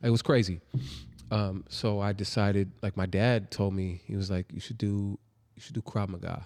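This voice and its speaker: A man with a normal speaking voice talks at a moderate pace with a fairly low pitch and ordinary pitch variation. The recording is very clean, with a silent background. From California (born in New Jersey). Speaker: martial arts instructor and educator. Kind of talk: casual interview.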